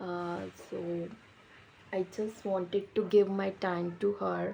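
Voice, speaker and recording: Her medium-pitched voice stays in a monotone, flat intonation as the woman speaks. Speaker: YouTuber, English learner. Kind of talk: vlog introduction. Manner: halting, many fillers.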